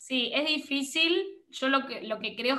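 A woman speaks at a fairly slow pace in a high pitch with ordinary pitch variation. Her tone is bright and sharp, and her voice is raised and projected. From Argentina. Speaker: photographer and content creator. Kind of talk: interview conversation. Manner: animated.

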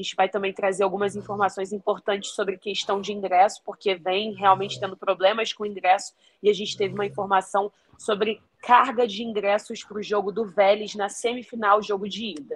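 In a strong Rio de Janeiro accent, a woman speaks at a medium pitch with monotone, flat intonation. The sound is dry and close, with no echo. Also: fairly quick pace. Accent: strong carioca. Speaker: sports reporter. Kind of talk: field report. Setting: remote link from hotel.

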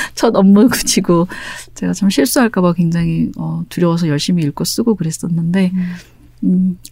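Noticeable background noise sits behind a woman with a fairly low voice and ordinary pitch variation. She talks at a moderate pace in a calm, soothing tone. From Busan, South Korea. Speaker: novelist. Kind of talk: interview.

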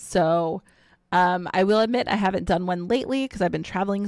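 Recorded very cleanly against a silent background, a woman uses a plain, everyday voice with ordinary pitch variation. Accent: American. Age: 30s. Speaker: streamer and cosplayer. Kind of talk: casual interview.

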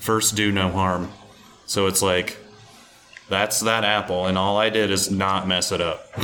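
This speaker has an American accent and a fairly slow pace with long, frequent pauses. The intonation is monotone and flat, with noticeable background noise behind it. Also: man, fairly low pitch for a man. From Omaha, Nebraska, US Midwest. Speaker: cider maker. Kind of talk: casual interview. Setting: on location at a cidery.

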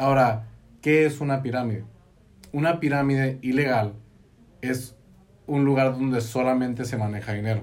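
Amid audible room echo, a man at a medium pitch speaks at a moderate pace with fairly even intonation and long, frequent pauses. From Mexico, Baja California (Tecate). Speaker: engineer and network marketing entrepreneur. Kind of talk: casual interview. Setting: studio.

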